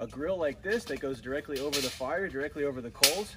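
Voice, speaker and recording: Amid noticeable background noise, a man talks at a very fast pace with ordinary pitch variation. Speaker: outdoor cooking instructor. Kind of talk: tutorial. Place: garden.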